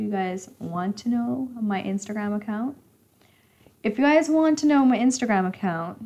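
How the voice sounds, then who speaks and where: This woman's voice is somewhat breathy. Her intonation is lively. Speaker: smart home YouTuber. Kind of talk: live stream Q&A. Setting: live stream. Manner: casual, chatty. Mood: playful, friendly. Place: home room. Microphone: camera far.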